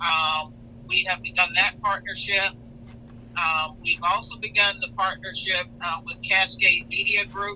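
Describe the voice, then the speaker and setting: Speaking fairly slowly, a high-pitched man is heard with noticeable background noise behind him. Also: lively intonation. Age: 60s. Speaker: newspaper journalist. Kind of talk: radio talk show interview. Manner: halting.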